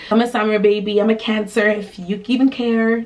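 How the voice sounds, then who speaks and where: A woman's fairly high voice comes through over noticeable background noise. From Quebec, Canada (family from Burundi). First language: Kirundi. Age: 20s. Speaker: lifestyle and travel vlogger. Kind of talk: casual Q&A vlog.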